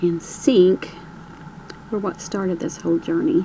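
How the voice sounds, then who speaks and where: A woman's voice with very wide pitch swings, over noticeable background noise. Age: 60s. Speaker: crafter showing a dollhouse. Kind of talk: show-and-tell tour. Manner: casual, with hesitations.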